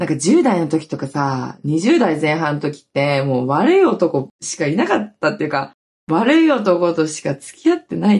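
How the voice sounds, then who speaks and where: A somewhat breathy, animated voice with lively intonation at a moderate pace. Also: woman, very deep, low pitch for a woman. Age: 30s. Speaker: podcast host and TikTok creator. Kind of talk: casual solo talk. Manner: animated, frequent laughter.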